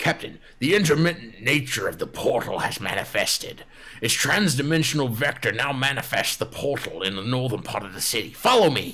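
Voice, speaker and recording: A man puts on a loud character voice with a fairly high pitch, talking at a fairly quick pace over light background noise. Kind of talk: technical jargon. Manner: urgent, overbearing.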